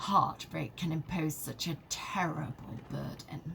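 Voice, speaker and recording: A put-on character voice at a middle pitch moves at a fairly slow pace against clear background noise. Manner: affected, melodramatic impression.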